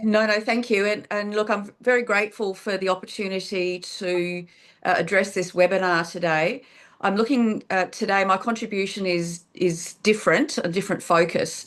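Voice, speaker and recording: Against a quiet background, a woman with an Australian accent speaks at medium pitch and a moderate pace, her intonation fairly even. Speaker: politician. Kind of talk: webinar presentation. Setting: online webinar.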